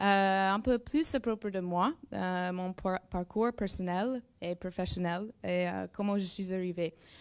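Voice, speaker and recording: A woman's voice with a strong non-native accent and ordinary pitch variation, on a very clean recording with a silent background. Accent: strong English-speaking accent in French. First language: English (speaking French). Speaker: neuroscience researcher. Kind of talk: presentation to school pupils. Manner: halting, searching for words.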